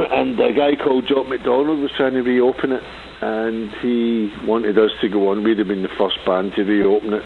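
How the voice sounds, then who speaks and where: Speaking at a moderate pace with a Glaswegian accent, a man uses ordinary pitch variation against noticeable background noise. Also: medium pitch for a man. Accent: Glaswegian Scottish. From Scotland, Glasgow. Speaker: punk musician. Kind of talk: radio interview. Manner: halting.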